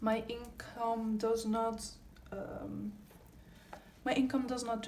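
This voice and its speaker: A woman with a fairly high voice speaks very slowly amid noticeable background noise and audible room echo. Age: 20s. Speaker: budgeting youtuber. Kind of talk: casual tutorial vlog. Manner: casual with frequent fillers.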